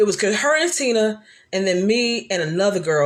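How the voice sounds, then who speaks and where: A woman speaks loudly at a fairly high pitch. She sounds animated. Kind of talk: casual livestream chat. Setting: live video stream.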